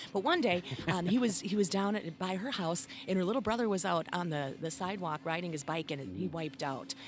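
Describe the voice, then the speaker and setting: The speaker has an American accent and lively intonation, talking fairly quickly with hardly any pauses. Noticeable background noise is present. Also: woman. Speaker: musician and voice talent. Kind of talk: casual chat. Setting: outdoors.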